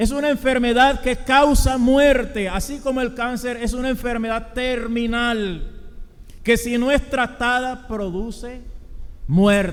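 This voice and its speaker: Speaking very slowly, a man uses an extremely high pitch with fairly even intonation. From Colombia. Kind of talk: sermon.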